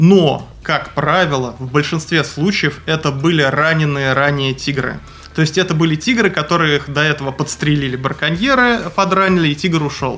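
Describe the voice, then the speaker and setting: Noticeable background noise accompanies a man speaking at a moderate pace with a fairly high pitch and ordinary pitch variation. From Moscow, Russia. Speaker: wildlife researcher. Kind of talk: interview. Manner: halting with many fillers.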